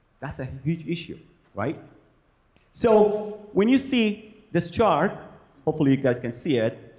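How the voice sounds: Fairly slow speech from a man with a fairly high pitch, big pitch swings and a slightly mellow tone.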